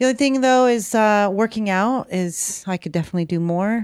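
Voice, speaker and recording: A woman speaks at a fairly quick pace in a plain, everyday voice with lively intonation. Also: very clean recording, silent background. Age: 50s. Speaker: podcast co-host. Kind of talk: casual chat.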